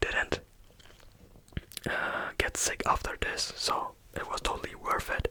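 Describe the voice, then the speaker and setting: Someone whispers in a relaxed tone at a fairly slow pace, with long, frequent pauses. Noticeable background noise sits behind the voice. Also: man. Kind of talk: ASMR real-life storytelling for sleep. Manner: soft-spoken, slow, relaxed.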